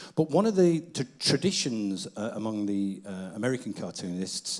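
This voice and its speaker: A man with a Manchester accent and lively intonation. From Manchester, northern England. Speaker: event host, cartoonist. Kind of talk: stage hosting.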